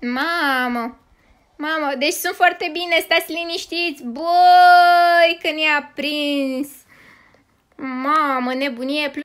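Very slowly, a woman speaks at a high pitch with ordinary pitch variation. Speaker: gaming youtuber. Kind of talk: gaming commentary.

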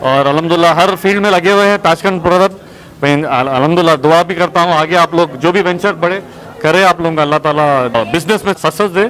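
A man talks at a fast pace with few pauses, his fairly high pitch showing ordinary variation and a fairly bright tone over faint background noise.

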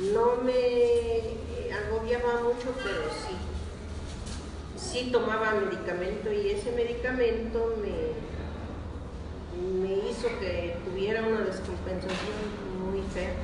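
A woman's very slow speech with long, frequent pauses, audible room echo and noticeable background noise. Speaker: product testimonial giver. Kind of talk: testimonial interview answer. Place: hall.

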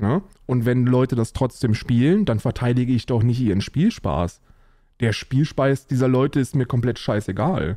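A man's dark, mellow voice at a moderate pace, dry with no echo, against a quiet background. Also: ordinary pitch variation. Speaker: livestreamer answering chat. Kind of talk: casual stream commentary. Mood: mocking, amused, opinionated. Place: home room.

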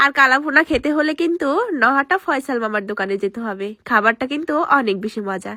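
A woman's raised, projected voice rings high in pitch with a bright, sharp tone and lively intonation, dry and close with no echo. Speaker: vlogger. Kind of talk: voice-over narration.

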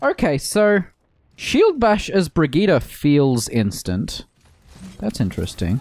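With an Australian accent, a man speaks very slowly, leaving long, frequent pauses. His loudness stays very even, and the sound is dry with no echo. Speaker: gaming streamer. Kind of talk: casual chat. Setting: home. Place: home room. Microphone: studio mic.

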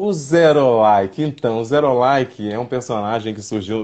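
A man's pitch varies in an ordinary way as he talks at a moderate pace against a quiet background. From southern Brazil, Santa Maria, Rio Grande do Sul; Rio Grande do Sul, Brazil. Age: 50s. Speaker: actor. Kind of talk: casual interview. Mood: warm, animated storytelling. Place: home room. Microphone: video call.

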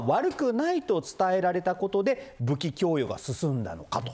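A man with a high pitch speaks at a moderate pace, his voice making very wide pitch swings. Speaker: TV news presenter. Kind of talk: news reading and interview questions. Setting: studio. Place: studio.

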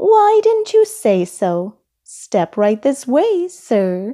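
In a put-on character voice, a woman speaks very slowly at a high pitch, her tone dark and mellow and her pitch swinging widely.

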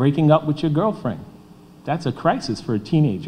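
Light background noise sits under a man speaking in an animated tone at a moderate pace, his fairly high pitch carrying lively intonation. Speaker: school safety official. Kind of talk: panel remarks at public forum. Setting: hall with live audience. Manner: animated, preacher-like repetition. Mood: earnest, light humor. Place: hall. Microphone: podium.

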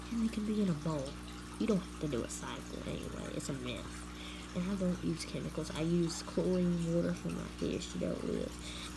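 Speech at a moderate pace, with noticeable background noise. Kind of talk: casual vlog chat. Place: home room. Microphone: phone near.

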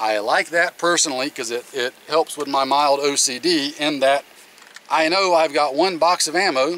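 Over light background noise, a man talks at a moderate pace with ordinary pitch variation in a dry sound with no echo. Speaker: channel host. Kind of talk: product review vlog. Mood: relaxed, friendly. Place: open country.

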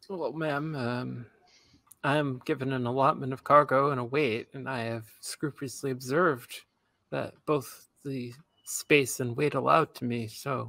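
Using a put-on character voice, a man talks at a moderate pace in a raspy tone at medium pitch. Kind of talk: gosh-gee 1950s high schooler voice. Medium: actual play. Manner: overly polite, then curt and dismissive.

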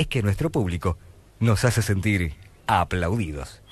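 The man's voice is fairly low, with lively intonation at a moderate pace. There is no echo, and the sound is dry. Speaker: radio announcer. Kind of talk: scripted radio anniversary narration. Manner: humorous. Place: studio. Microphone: old recording.

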